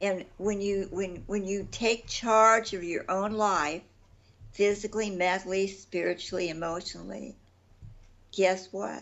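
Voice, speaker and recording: A woman at medium pitch, monotone and flat in intonation, at a fairly slow pace. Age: 80s+. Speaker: nutritionist. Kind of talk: interview.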